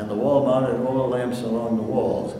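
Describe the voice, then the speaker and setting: Over noticeable background noise, a man talks at a moderate pace with a medium pitch. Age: 80s+. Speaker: minister. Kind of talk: memoir reading.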